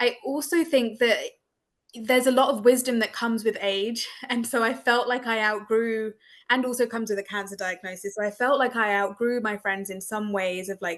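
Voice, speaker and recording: With an English accent, a woman speaks at a moderate pace in a fairly high pitch with ordinary pitch variation. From England. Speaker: breast cancer survivor, support group facilitator. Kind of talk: panel discussion.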